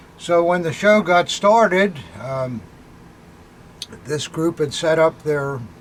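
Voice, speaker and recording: A man talks very slowly, leaving long, frequent pauses, his fairly high voice showing ordinary pitch variation. Noticeable background noise runs underneath. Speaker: antiques dealer. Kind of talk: casual chat. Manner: halting.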